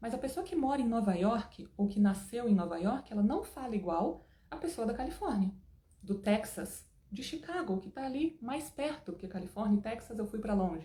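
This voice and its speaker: A woman speaks at a fairly high pitch and a moderate pace. Her tone is animated, with very wide pitch swings. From Brazil. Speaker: English teacher. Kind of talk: online lesson.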